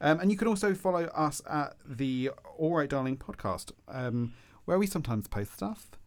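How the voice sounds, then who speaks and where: With very wide pitch swings, a man with a southeast English accent and a fairly high pitch speaks at a moderate pace. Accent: south-east English. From Kent, south-east England. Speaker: podcast co-host. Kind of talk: casual chat.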